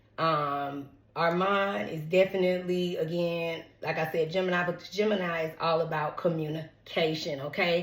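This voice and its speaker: A woman speaks with hardly any pauses at a fairly low pitch. Noticeable background noise and audible room echo surround her. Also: moderate pace. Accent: American. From Atlanta, Georgia (College Park), US South. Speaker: tarot reader, celebrity gossip YouTuber. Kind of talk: casual chat, tarot reading. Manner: chatty, animated.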